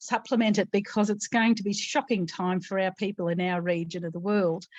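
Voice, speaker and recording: A woman with an Australian accent speaks at a moderate pace and medium pitch. Her intonation is fairly even, and the background is quiet. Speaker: disaster recovery speaker. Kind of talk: panel discussion.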